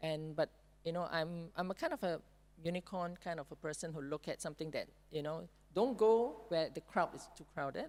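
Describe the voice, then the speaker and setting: The pace is fairly quick. Loudness swings widely. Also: woman, fairly low pitch for a woman, ordinary pitch variation. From Singapore. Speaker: panelist. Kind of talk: panel discussion.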